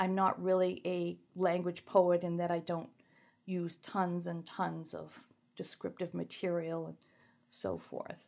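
A woman's monotone, flat delivery at a very slow pace on a very clean recording with a silent background. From Maine. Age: 60s. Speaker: poet. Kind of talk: interview.

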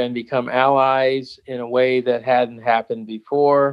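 A man speaks in an American accent at a fairly slow pace. His pitch is medium and his intonation monotone and flat. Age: 70s. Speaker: priest and college teacher on race. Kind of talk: interview.

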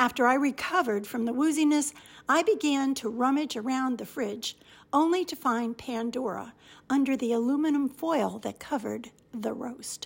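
In a very clean recording with a silent background, a woman with a high voice talks at a moderate pace with ordinary pitch variation. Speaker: radio feature host and reader. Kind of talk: dramatic reading aloud of a comic letter, with character voices. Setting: radio studio. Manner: animated, theatrical, playful; expressive with comic timing.

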